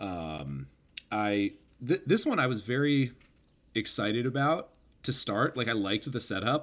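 In a very clean recording with a silent background, a man of medium pitch speaks at a fairly slow pace with lively intonation and long, frequent pauses. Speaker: podcast co-host. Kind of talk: casual chat.

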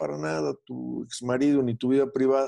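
The voice has a dark, mellow tone, recorded dry and close with no echo. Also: man. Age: 50s. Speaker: psychoanalyst and radio show host. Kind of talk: interview.

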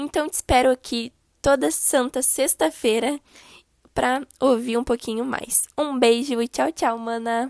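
A woman with a high pitch speaks at a fairly slow pace in a dry, close recording with no echo. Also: ordinary pitch variation. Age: 20s. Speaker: podcast host and digital marketing consultant. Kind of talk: podcast introduction monologue. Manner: casual, friendly.

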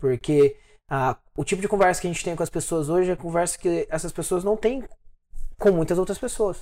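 A dark, mellow tone carries along at a fairly quick pace with ordinary pitch variation, on a very clean recording with a silent background. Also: man, high pitch for a man. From Brazil, interior of Minas Gerais. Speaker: financial planner, podcast co-host. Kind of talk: casual chat.

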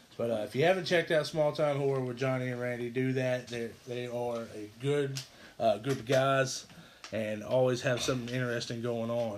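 Fairly quick in pace. A plain, everyday voice. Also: man. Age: 30s. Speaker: gaming podcast host. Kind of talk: casual chat.

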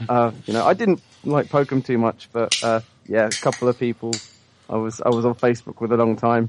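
A slight British accent at a fairly quick pace, with fairly even intonation and a dry, close sound with no echo. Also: man, medium pitch for a man. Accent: British, mild. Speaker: listener caller.

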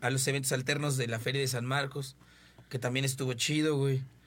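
An ordinary speaking voice moves along at a fairly quick pace. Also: man. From Mexico City. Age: 20s. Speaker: local musician. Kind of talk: casual chat.

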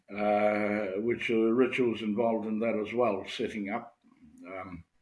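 Audible room echo hangs on the voice. A man delivers his words at a very slow pace. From New Zealand, rural Maori village. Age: old. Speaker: Maori elder and haka workshop leader. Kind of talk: interview. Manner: halting.

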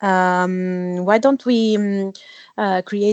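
Over a quiet background, a woman speaks at medium pitch in an Italian accent. Her intonation is monotone and flat, and the sound is dry and close with no echo. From Italy. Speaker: 3D artist and author. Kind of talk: interview conversation. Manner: halting, many fillers.

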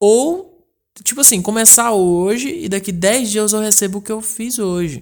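Lively intonation from a man, fairly slow in pace. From Brazil, northern Goiás (Porangatu). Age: 20s. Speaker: podcast host. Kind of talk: casual monologue. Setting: at home.

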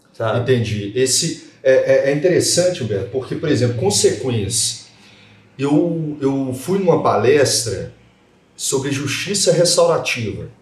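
With audible room echo around him, a man speaks fairly slowly at a fairly high pitch with lively intonation. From Minas Gerais, Brazil. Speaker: lawyer and podcast host. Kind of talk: casual panel discussion.

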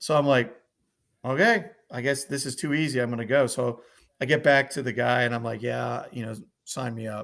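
A man talks fairly quickly at a medium pitch, with vocal fry and ordinary pitch variation. He leaves long, frequent pauses, and the recording is very clean with a silent background. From US, Northern Virginia. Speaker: war veteran. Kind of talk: testimony. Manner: casual.

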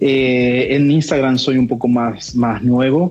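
Amid noticeable background noise, a man speaks at a medium pitch. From Argentina, Buenos Aires province. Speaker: Franciscan friar. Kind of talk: casual interview on spirituality.

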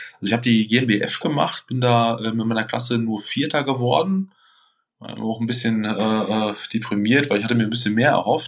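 A man with an unremarkable speaking voice talks at a moderate pace, at a medium pitch with ordinary pitch variation. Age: 30s. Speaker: bodybuilder and competition judge. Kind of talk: casual interview.

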